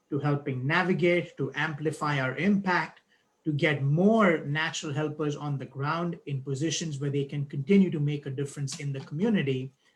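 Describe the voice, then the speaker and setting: With fairly even intonation, a man speaks in a somewhat breathy, fairly high voice. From outside the US, first-generation immigrant. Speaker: board chair of a nonprofit. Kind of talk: speech at a live-streamed event. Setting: video call live stream.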